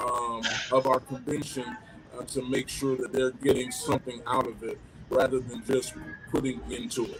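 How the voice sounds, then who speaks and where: Music plays in the background as a man at medium pitch speaks at a moderate pace with fairly even intonation. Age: 40s. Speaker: pastor. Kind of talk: panel discussion.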